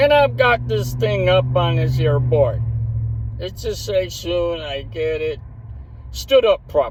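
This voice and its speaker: A man's mumbling, put-on character voice at a fairly slow pace, with clear background noise. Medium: read story. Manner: slurred, mumbling, sly.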